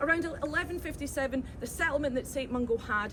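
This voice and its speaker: Animated, fairly quick speech from a woman with a high pitch and a Glaswegian accent, over noticeable background noise. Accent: Glaswegian Scottish. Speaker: tour guide. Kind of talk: guided tour talk. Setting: outdoors. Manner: fast.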